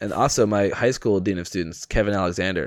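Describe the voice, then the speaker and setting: A man speaks fairly quickly with an American accent and a fairly low pitch. The recording is very clean, with a silent background. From US Pacific Northwest. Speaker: podcaster. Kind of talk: casual chat.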